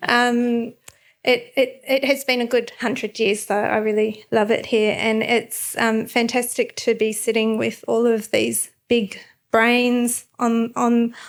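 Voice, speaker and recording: The speaker uses an Australian accent at a very slow pace. Intonation stays monotone and flat, and loudness stays very even. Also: woman. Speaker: landscape architect. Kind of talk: panel discussion. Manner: hesitant, many fillers.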